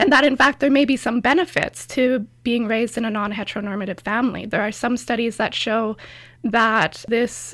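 At a moderate pace, a woman speaks in a plain, everyday voice at a fairly high pitch. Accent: Canadian. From Canada, rural Alberta. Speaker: PhD student in history. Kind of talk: interview.

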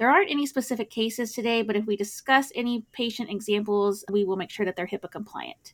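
A woman talks with a fairly high pitch and ordinary pitch variation. It is a plain, everyday voice. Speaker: podcast host, critical care physician. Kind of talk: casual expert discussion of a clinical trial.

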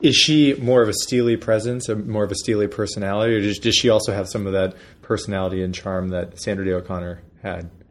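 Speaking very fast in a Pennsylvania accent, a man keeps a fairly low pitch with ordinary pitch variation. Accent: Pennsylvania, northern US. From Erie, Pennsylvania. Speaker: interviewer. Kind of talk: interview conversation. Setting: in San Francisco, in person. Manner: halting, with many fillers.

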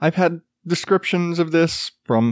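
A man speaks at a high pitch for his sex. The recording is very clean with a silent background, and the sound is dry and close with no echo. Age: 30s. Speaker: podcast host. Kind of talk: casual monologue. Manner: profane, rambling.

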